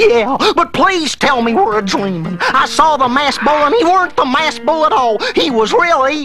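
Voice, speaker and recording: A cartoonish character voice speaks at a moderate pace over clear background noise. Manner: excitable, stammering.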